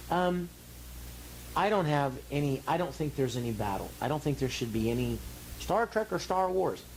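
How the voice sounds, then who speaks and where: Somewhat breathy and relaxed in tone, a man with a fairly high pitch and very wide pitch swings speaks at a moderate pace with very even loudness and long, frequent pauses. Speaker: voice actor and actor. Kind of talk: interview answer. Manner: relaxed, conversational.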